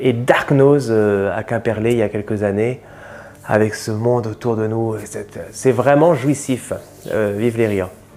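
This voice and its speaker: Noticeable noise sits in the background as a man speaks at a fairly slow pace. His pitch is medium and his intonation fairly even. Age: 40s. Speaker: comedian. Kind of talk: interview portrait. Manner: hesitant, many fillers.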